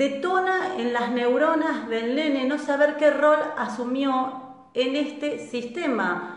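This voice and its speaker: A woman with a Rioplatense accent speaks very slowly with hardly any pauses, her high voice carrying lively intonation over noticeable background noise. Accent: Argentine Rioplatense Spanish. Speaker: transgenerational therapist and live-stream host. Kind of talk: live-stream talk answering viewer questions. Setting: live online stream. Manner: animated.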